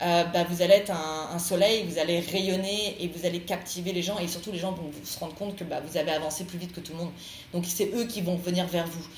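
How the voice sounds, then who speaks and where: Noticeable background noise and audible room echo surround a woman talking at a fairly quick pace. Her fairly low pitch stays monotone and flat, while her loudness swings widely. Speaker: tarot card reader. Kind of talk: tarot reading monologue. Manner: fast; hesitant, many fillers.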